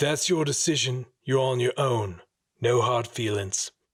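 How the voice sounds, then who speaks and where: Using a raspy, put-on character voice, a man speaks at medium pitch and a moderate pace. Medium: read story. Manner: terse, blunt.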